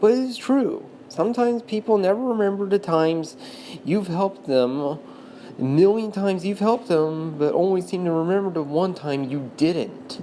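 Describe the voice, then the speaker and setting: Over noticeable background noise, a woman with a medium pitch speaks at a moderate pace with lively intonation. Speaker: video commentator. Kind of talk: unscripted monologue. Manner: halting, stuttering.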